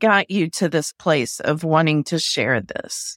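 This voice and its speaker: A woman talks at a very slow pace in a dry, close sound with no echo. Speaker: podcast host. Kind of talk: interview, friendly.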